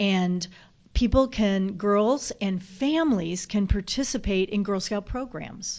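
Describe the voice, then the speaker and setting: With a slight Southern accent, a woman speaks at a fairly slow pace and medium pitch, using ordinary pitch variation. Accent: slight southern twang. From US South. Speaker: nonprofit chief executive. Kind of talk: interview.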